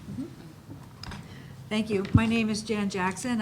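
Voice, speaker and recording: A woman with an American accent talks in a normal speaking voice at a medium pitch and a fairly quick pace. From Baltimore, Maryland, US. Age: 60s. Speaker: policy advocate at foundation. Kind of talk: panel introduction.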